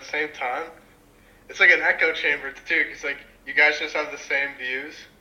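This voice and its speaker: A man delivers his words fairly quickly in an ordinary speaking voice, his pitch varying in an ordinary way. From Canada. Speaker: random video chat stranger. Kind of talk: casual chat. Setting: video call.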